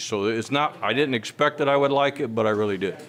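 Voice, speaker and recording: A man's voice with ordinary pitch variation, against noticeable background noise. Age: 50s. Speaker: gym member. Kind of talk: interview testimony.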